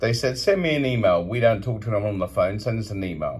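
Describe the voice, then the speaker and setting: The speaker is a man with a British accent. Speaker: hotel guest reviewer. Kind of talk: complaint review monologue. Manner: animated.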